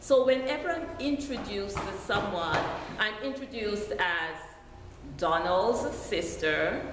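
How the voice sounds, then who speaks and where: A woman speaks very slowly in a Jamaican accent, her fairly high pitch swinging very widely. Noticeable background noise and audible room echo fill the recording. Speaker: deacon preaching. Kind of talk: sermon.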